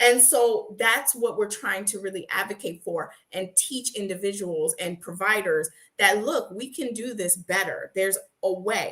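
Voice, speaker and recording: A woman speaks loudly at a moderate pace, her medium-pitched voice bright and sharp with ordinary pitch variation. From Haiti. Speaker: nurse and sickle cell patient advocate. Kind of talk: interview.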